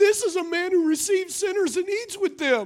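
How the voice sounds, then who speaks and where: A woman does a put-on character voice at an extremely high pitch. She speaks at a moderate pace. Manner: grumpy.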